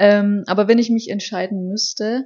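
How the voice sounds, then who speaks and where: Somewhat breathy, a woman talks at a medium pitch with fairly even intonation. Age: 20s. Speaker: podcast co-host, office clerk. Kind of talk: casual chat.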